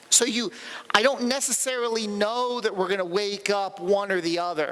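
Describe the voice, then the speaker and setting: Over noticeable background noise, a man talks in a raised, projected voice at a moderate pace with ordinary pitch variation. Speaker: conference speaker. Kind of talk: technical talk Q&A. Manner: halting, repetitive.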